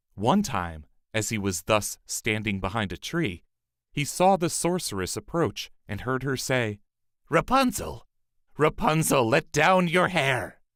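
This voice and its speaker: The recording is very clean, with a silent background, as a man speaks at a medium pitch with vocal fry. He talks at a fairly slow pace, with very wide pitch swings. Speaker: voice actor. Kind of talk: audiobook fairy tale reading.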